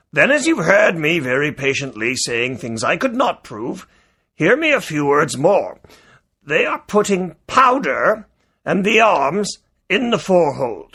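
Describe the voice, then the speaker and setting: Putting on a character voice, a man speaks fairly slowly in a high pitch with very wide pitch swings. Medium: read story. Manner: blunt, clipped.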